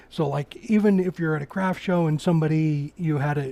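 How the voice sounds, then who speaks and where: A man's fairly high, dark and mellow voice, somewhat breathy, with an American accent at a moderate pace, in a very clean recording with a silent background. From Oregon, US Pacific Northwest. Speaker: woodturner. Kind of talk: live-stream tutorial with chat. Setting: workshop live stream. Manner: casual, halting with repetitions.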